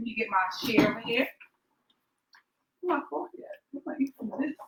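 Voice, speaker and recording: A woman with an American accent speaks in a raised, projected voice at a high pitch. Her pace is very fast. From Brooklyn, New York. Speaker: cookbook author. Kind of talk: cooking demonstration.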